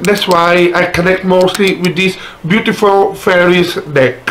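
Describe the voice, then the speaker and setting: Noticeable background noise sits under the voice. The speaker has a non-native accent. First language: not English. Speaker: spiritual content creator. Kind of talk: product review. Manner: halting.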